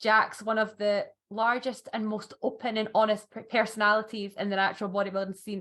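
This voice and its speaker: Talking at a fairly quick pace, a woman with a Scottish accent uses medium pitch and a monotone, flat intonation. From Scotland. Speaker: podcast host. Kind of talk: casual interview chat.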